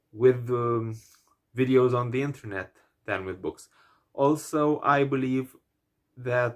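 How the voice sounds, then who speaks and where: Speaking at a very slow pace, a man with a Romanian accent uses a medium pitch. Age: 20s. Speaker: book vlogger. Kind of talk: vlog monologue. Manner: hesitant, many fillers.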